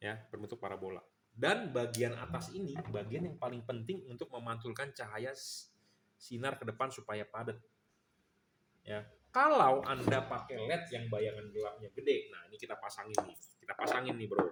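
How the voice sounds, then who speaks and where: Loudness swings widely as a man speaks in a bright, sharp tone with ordinary pitch variation. He has a Jakarta accent. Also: medium pitch for a man, moderate pace. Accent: Jakarta speech style, can sound blunt. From Jakarta, Indonesia. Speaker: LED bulb seller and reviewer. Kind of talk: product review demonstration. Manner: casual, blunt, repetitive.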